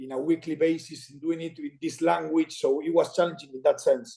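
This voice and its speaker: A man with a high-pitched voice and an Argentine accent. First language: Spanish. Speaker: former rugby player and commentator. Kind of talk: podcast interview. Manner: halting.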